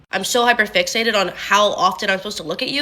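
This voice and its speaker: With noticeable background noise behind her, a woman talks very fast at a fairly high pitch. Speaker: content creator. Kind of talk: casual talk to camera. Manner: monotone when not on video.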